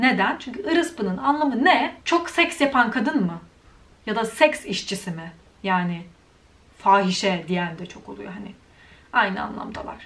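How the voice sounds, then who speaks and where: Speaking at a fairly slow pace, a woman with a fairly high pitch makes big swings in loudness and very wide swings in pitch. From Turkey. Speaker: YouTuber. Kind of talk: vlog rant. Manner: animated.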